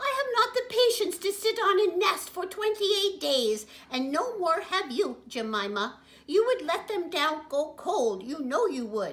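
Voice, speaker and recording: A woman puts on a character voice at an extremely high pitch. Her pitch swings very wide. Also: moderate pace. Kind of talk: bedtime story. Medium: read story. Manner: brisk, chiding.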